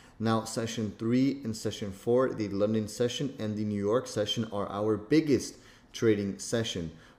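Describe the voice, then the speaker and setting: A man at medium pitch and moderate pace, with an unremarkable speaking voice. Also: ordinary pitch variation. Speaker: trading instructor. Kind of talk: tutorial. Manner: casual, with many fillers.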